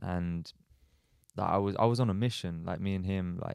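A man with an English accent speaks in a very deep, low voice. The sound is dry and close, without any echo. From Australia. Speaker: footballer. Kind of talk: casual interview chat.

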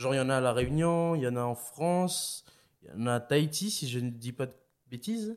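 Speaking at a moderate pace, the man uses lively intonation at a medium pitch. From New Caledonia. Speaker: parkour athlete and comedian. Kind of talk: casual chat. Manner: animated.

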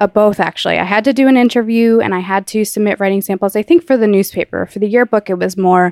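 Very fast speech comes from a woman with an American accent. The sound is dry and close with no echo, and her intonation is fairly even. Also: very clean recording, silent background. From New Jersey. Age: 20s. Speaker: magazine founder and editorial assistant. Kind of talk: interview.

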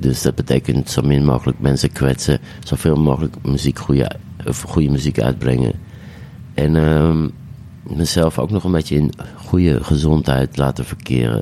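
A man with a very deep, low voice speaks at a moderate pace, his loudness very even and his intonation fairly even. Long pauses come often, over noticeable background noise. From Amsterdam, De Pijp. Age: 40s. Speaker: DJ and singer. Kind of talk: casual chat.

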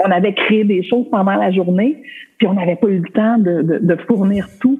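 A woman talks in a Quebec accent. Her pace is moderate. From Quebec, Côte-Nord. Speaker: costume designer. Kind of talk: casual interview chat.

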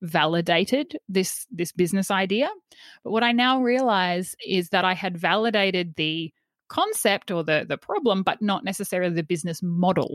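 A woman in an Australian accent, medium pitch, ordinary pitch variation and moderate pace, a very clean recording with a silent background and a dry, close sound with no echo. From Australia, central Queensland. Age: 30s. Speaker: former teacher, wellbeing coach and podcaster. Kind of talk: interview conversation.

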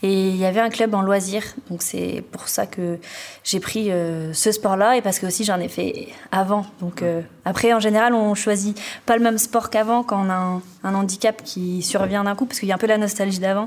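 On a very clean recording with a silent background, a woman talks at a moderate pace with fairly even intonation and medium pitch. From Brittany, France (Finistère, Brest). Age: 20s. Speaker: wheelchair basketball player. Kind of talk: interview. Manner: hesitant.

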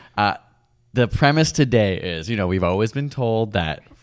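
A man's fairly low-pitched voice. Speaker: science podcast co-host. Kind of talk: casual chat. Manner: fast.

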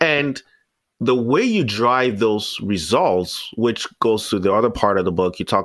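In a very clean recording with a silent background, a man with an ordinary speaking voice talks at a fairly slow pace, his medium pitch carried by lively intonation. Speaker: podcast host. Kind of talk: casual interview chat.

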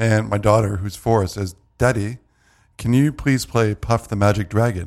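At a moderate pace, a man with a Canadian accent has an unremarkable speaking voice, fairly low in pitch with ordinary pitch variation, in a very clean recording with a silent background. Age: 40s. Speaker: tech website publisher. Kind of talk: casual chat.

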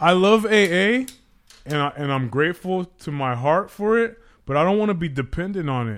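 With an American accent, a man talks at a moderate pace in a high pitch with lively intonation. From Pacoima, Los Angeles. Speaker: recovering alcoholic, sobriety group member. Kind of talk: casual podcast conversation. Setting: studio. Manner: loud; militant, hard.

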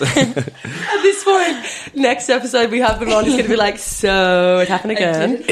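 A woman speaks at a moderate pace with a fairly high pitch, lively intonation and very even loudness, hardly pausing at all. Her tone is enthusiastic and upbeat, with noticeable background noise behind her. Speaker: podcast co-host. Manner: enthusiastic, upbeat.

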